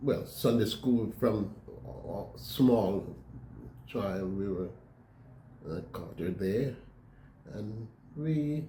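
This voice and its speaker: Speaking at a very slow pace with long, frequent pauses, a man with a fairly low pitch uses lively intonation amid audible room echo. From Jamaica, Westmoreland. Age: 80s+. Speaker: church member telling life story. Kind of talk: interview testimony. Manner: halting.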